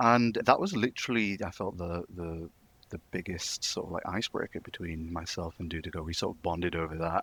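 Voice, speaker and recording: A man with a Manchester accent, very deep and low in pitch, big swings in loudness, dry and close with no echo on a very clean recording with a silent background. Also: ordinary pitch variation. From northern England, Manchester. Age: 20s. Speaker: wrestling fan community member. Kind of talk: casual chat.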